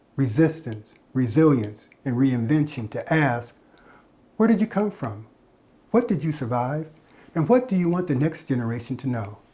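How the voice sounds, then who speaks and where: Somewhat breathy and dark, mellow in tone, the voice moves at a moderate pace with lively intonation and long, frequent pauses. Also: man, fairly high pitch for a man. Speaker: podcast host, interviewer. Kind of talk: show intro.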